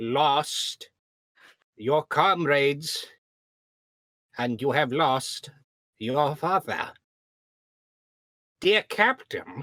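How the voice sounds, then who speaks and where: A man's fairly high-pitched, put-on character voice at a very slow pace. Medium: actual play. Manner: formal, earnest.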